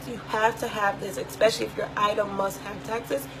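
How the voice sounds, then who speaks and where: A woman's animated, medium-pitched voice against noticeable background noise. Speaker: online boutique owner and vlogger. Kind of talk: tutorial vlog. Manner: fast.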